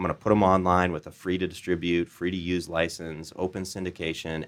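A man with an American accent talks in a very deep, low voice. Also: very clean recording, silent background. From Iowa, US Midwest. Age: 30s. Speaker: entrepreneur, CEO. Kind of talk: interview storytelling.

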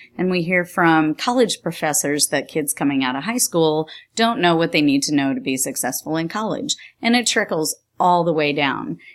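Woman with an American accent, fairly low in pitch, lively in intonation, at a moderate pace, an ordinary speaking voice, on a very clean recording with a silent background. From New York State. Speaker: engineering curriculum support specialist, teacher. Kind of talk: interview.

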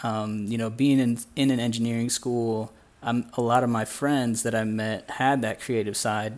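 Over a silent background in a very clean recording, a man speaks at a moderate pace in an ordinary speaking voice. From US Midwest, Indiana. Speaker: illustrator, former engineer. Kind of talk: interview conversation.

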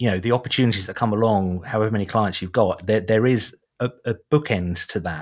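Fairly quick speech from a man with an eastern England accent, fairly low in pitch with ordinary variation, on a very clean recording with a silent background. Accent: British English, eastern England. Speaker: podcast host, SEO specialist. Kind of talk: casual interview chat.

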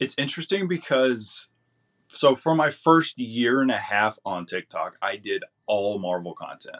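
Lively intonation from a man in a normal speaking voice, at a fairly slow pace, with a dry, close sound and no echo. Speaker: TikTok comic creator. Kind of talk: casual interview.

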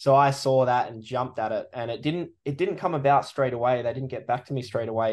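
A man talks with an Australian accent at a moderate pace and a medium pitch. The background is quiet. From Western Australia, rural wheatbelt. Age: 30s. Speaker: sports photographer. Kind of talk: casual chat.

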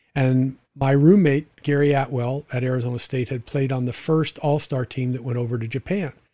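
This man's voice is dark and mellow in tone and somewhat breathy, moving fairly quickly with fairly even intonation. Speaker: podcast host and former sports agent. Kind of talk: interview.

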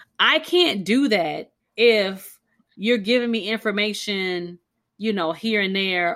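Her voice has a bright, sharp, animated tone and ordinary pitch variation, recorded very cleanly against a silent background. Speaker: physician podcast host. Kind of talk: casual chat. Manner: loud, animated.

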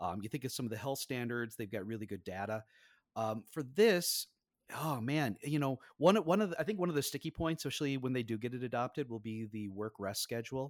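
A man with an Upper Midwest accent talks at a very fast pace and medium pitch with lively intonation, on a very clean recording with a silent background and a dry, close sound with no echo. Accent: Upper Midwest American. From Minnesota, upper Midwest US. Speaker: safety engineering professor. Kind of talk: casual interview.

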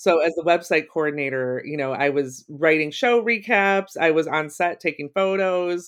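A plain, everyday voice with an American accent carries lively intonation. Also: woman. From Ohio, US Midwest. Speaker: writer and creativity course facilitator. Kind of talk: interview, casual chat.

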